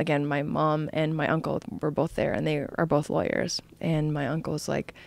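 With fairly even intonation, a woman speaks in a very deep, low pitch, the sound dry with no echo. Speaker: podcast guest. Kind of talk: interview answer. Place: studio. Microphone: studio mic.

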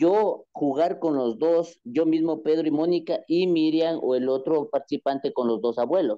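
Speaking at a moderate pace, a man has a fairly high pitch, ordinary pitch variation and a dark, mellow tone.

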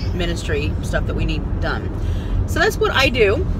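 A woman talks against loud background noise, and the sound is dry with no echo. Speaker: parent vlogger. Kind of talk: casual vlog chat. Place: car. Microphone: phone near.

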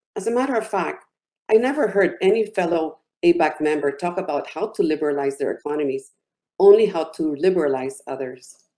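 This woman has a dark, mellow tone and speaks at a moderate pace. Her pitch swings very widely. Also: quiet background. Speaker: business executive; business council representative, panel commenter. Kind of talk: panel commentary. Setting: video call. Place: home room. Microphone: webcam.

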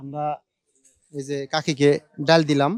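The recording is very clean and the background silent. The voice is a man's. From Bangladesh, Manikganj (Ghior). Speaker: charity vlogger giving food to the poor. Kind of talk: casual chat with a street beggar.

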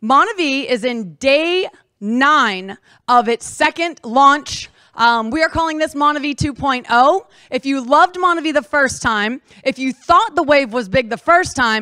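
A woman's raised, projected voice in a bright, sharp tone, at a fairly slow pace. The sound is dry with no echo, over a quiet background. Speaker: presenter. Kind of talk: motivational presentation. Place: meeting room. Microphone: handheld.

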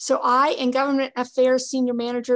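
A woman speaks fairly quickly. Her surroundings are quiet. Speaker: port official giving report. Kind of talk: meeting report. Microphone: video call.

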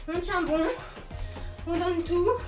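A woman speaks in an extremely high pitch at a fairly slow pace with fairly even intonation. Clear music plays in the background. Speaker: fitness instructor. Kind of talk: workout coaching. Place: home room. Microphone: camera far.

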